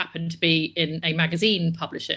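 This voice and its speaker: A woman with a Bristol accent, her bright, sharp voice fairly low in pitch, at a moderate pace in a very clean recording with a silent background. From England, Bristol. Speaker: publishing professional. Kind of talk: live-streamed Q&A interview. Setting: live video stream.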